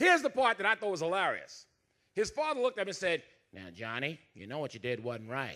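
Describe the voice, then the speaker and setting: Speaking very fast in a raised, projected voice, a man with an American accent has a high pitch, very wide pitch swings, big shifts in loudness and a bright, sharp tone, all on a very clean recording with a silent background. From US South, Dothan, Alabama. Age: 60s. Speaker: comedian. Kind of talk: stand-up. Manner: animated.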